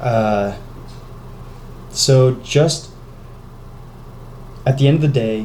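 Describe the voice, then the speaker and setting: The recording has audible room echo and noticeable background noise. A man talks with ordinary pitch variation. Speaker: fitness vlogger. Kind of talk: casual vlog talk. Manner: halting, stuttering; rambling, filler-heavy.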